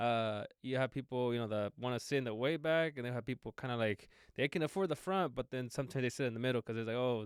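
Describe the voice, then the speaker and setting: A man with a Spanish accent talks very fast, hardly pausing, with ordinary pitch variation. The recording is very clean and dry, close with no echo and a silent background. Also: medium pitch for a man. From Mexico, moved to US at age eight. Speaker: entrepreneur. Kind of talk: podcast interview. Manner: repeats words often, casual.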